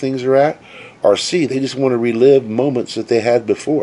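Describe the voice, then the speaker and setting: An ordinary speaking voice from a man at medium pitch, with ordinary pitch variation and a moderate pace. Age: 60s. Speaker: travel vlogger. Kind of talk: casual vlog monologue. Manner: conversational with frequent fillers.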